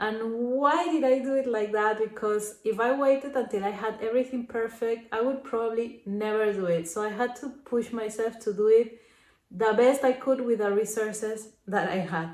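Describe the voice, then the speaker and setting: Speaking at a moderate pace with a Spanish accent, a woman uses a fairly high pitch with ordinary pitch variation. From Peru. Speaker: crochet vlogger. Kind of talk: casual vlog. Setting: selfie camera. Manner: hesitant, with fillers.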